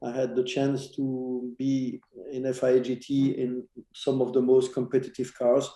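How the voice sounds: A man talks slowly at a medium pitch. His tone is dark and mellow.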